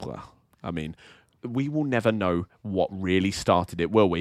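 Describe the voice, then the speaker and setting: The recording is very clean with a silent background as a man speaks at a moderate pace. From England. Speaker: podcast co-host. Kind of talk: casual chat.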